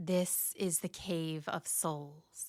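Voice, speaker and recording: In a put-on character voice, a woman speaks at a fairly low pitch. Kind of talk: bedtime story. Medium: read story. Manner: menacing, stern.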